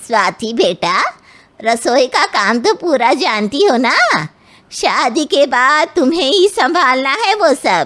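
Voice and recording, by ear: A cartoonish character voice moves at a fairly slow pace, swinging very widely in pitch while its loudness stays very even. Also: woman, high pitch for a woman.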